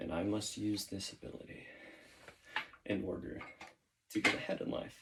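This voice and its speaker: A man is speaking. His pace is moderate. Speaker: YouTuber doing push-up workout. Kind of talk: casual monologue while exercising.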